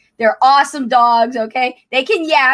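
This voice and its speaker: In a very clean recording with a silent background, a woman with a high-pitched voice speaks in an animated tone. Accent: New Jersey. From New Jersey, Trenton. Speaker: YouTuber, coach. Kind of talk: casual livestream chat. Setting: live stream.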